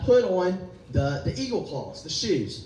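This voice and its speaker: A man speaks in an animated tone with lively intonation and a high pitch. Noticeable background noise and audible room echo surround him. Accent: American. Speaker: pastor. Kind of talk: sermon.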